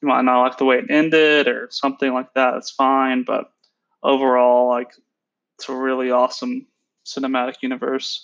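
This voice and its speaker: An American-accented man at a moderate pace, in a monotone, flat intonation. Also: medium pitch for a man. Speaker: podcast host. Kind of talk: casual chat.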